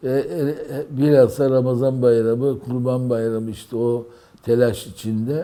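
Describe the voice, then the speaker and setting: Delivery is fairly slow, and pitch varies in an ordinary way. The tone comes across dark and mellow. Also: man. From Istanbul, Turkey. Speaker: poet. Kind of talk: oral history interview. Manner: halting, many fillers.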